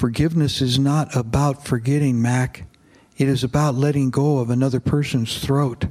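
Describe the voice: The clip is plain reading aloud. Its intonation remains fairly even throughout.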